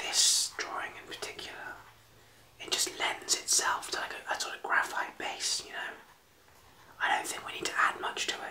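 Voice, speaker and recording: A man whispers at a moderate pace. He leaves long pauses, and they come often. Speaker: artist vlogger. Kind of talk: casual vlog chat while drawing. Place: home room.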